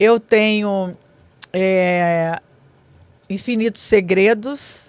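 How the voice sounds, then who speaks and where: With fairly even intonation and a medium pitch, a woman talks at a very slow pace. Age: 60s. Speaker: businesswoman and author. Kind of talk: podcast interview. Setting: studio.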